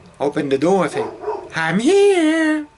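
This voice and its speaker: A man talks with a slight French accent. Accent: light French. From France. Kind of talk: casual storytelling to camera.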